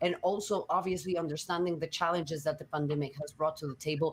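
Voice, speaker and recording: A woman speaks with a Spanish accent. Her pace is very fast. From Mexico. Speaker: sports journalist, panel moderator. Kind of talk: panel discussion.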